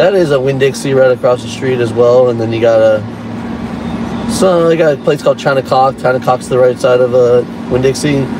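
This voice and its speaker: A man talks with fairly even intonation in a dry sound with no echo, though noticeable background noise comes through. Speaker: mock tour guide. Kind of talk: mock tour-guide patter, casual ad-libbed commentary. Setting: in a car, parked near a shopping strip. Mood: joking, playful. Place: car. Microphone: phone near.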